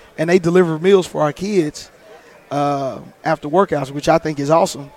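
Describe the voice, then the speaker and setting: A man speaks at a moderate pace in a fairly high pitch. Noticeable background noise is present. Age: 30s. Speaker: high school football coach. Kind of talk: interview. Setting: convention lounge.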